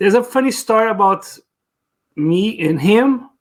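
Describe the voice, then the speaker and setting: A man with a Portuguese accent speaks fairly slowly, with lively intonation. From Brazil. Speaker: podcast co-host. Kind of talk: casual chat.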